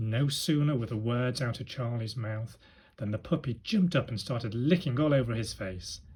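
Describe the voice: Ordinary pitch variation in plain reading aloud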